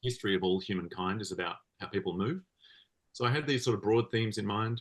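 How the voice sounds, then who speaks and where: A man speaks with an Australian accent at a very fast pace. His pitch is fairly low, with ordinary variation. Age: 40s. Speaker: comics creator and musician. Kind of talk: interview conversation. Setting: podcast interview.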